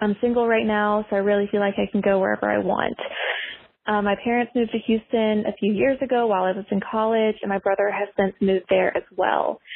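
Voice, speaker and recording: A woman's fairly quick delivery, a plain, everyday voice at medium pitch, with fairly even intonation. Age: 20s. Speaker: listener leaving a voicemail. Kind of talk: voicemail question. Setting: phone voicemail.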